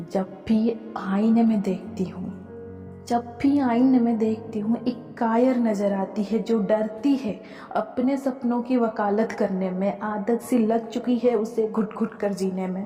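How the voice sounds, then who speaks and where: A woman speaks in a fairly high voice with fairly even intonation while music plays in the background. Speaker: poet. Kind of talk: poetry reading.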